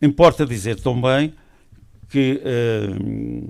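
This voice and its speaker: A man speaks with ordinary pitch variation. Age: 70s. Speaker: association representative. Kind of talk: formal speech. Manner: halting.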